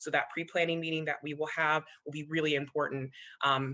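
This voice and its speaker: Against a quiet background, a woman speaks very fast in a very deep, low voice with a bright, sharp tone. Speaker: commission staff member. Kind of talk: public meeting presentation.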